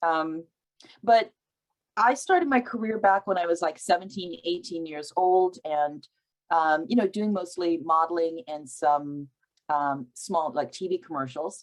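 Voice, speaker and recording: Lively in intonation, a woman with an ordinary speaking voice talks at a fairly slow pace and a fairly low pitch. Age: 60s. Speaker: actor and producer. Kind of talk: panel discussion. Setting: video call.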